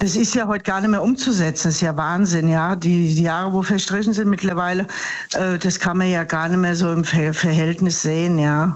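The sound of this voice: A woman at a fairly low pitch and fairly quick pace, with few pauses and fairly even intonation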